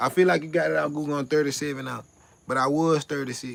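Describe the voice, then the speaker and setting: At a fairly quick pace, a man speaks with fairly high pitch and ordinary pitch variation. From US South (South Carolina). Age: 30s. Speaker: livestreamer. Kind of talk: casual live stream chat. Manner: repetitive, animated.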